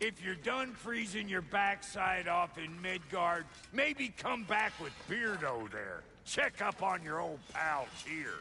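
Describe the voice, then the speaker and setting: Using a put-on character voice, a man sounds gruff and high-pitched. He goes at a fairly slow pace over clear background noise. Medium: video game. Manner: folksy, gruff, crude.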